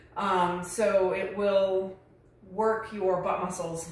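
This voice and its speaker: The intonation stays fairly even. There is audible room echo. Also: woman. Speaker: fitness instructor. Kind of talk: tutorial. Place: gym. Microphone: camera far.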